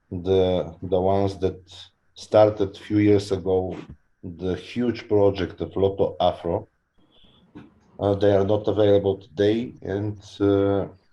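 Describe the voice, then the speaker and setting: Speaking at a fairly slow pace with long, frequent pauses, a man with a non-native accent has a dark, mellow tone and monotone, flat intonation. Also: fairly low pitch for a man, quiet background. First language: not English. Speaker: lottery company representative. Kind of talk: webinar panel introduction.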